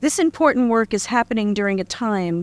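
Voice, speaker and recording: On a very clean recording with a silent background and a dry, close sound with no echo, a woman speaks at a fairly high pitch in a New York accent. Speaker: university dean. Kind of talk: formal welcome speech.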